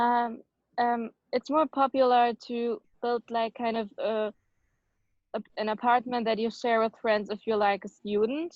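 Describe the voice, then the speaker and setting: A woman with a German accent speaks at a fairly slow pace. Her pitch is fairly high and her intonation fairly even. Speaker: ESL student. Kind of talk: class discussion.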